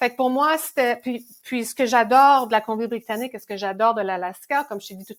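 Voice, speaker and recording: Recorded very cleanly with a silent background, the woman's voice has ordinary pitch variation. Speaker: ultrarunner and exercise physiology consultant. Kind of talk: podcast interview answer. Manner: enthusiastic, motivating.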